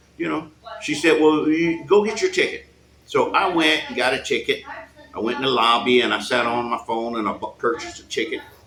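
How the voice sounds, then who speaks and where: A man talks at a fairly quick pace in an animated tone, his loudness swinging widely. Noticeable background noise runs underneath. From United States. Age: 60s. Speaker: expat retiree. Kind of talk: casual interview. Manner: animated storytelling.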